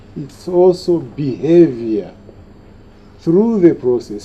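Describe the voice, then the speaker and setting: Noticeable background noise sits behind a man's voice. His pitch is fairly high and his intonation lively. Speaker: former politician giving a public lecture. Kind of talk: lecture.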